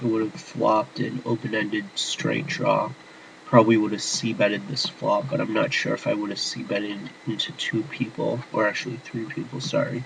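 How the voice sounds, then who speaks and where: Noticeable background noise behind a man's medium-pitched voice, at a moderate pace with ordinary pitch variation. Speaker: poker player. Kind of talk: screen-recorded tutorial commentary. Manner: whispered.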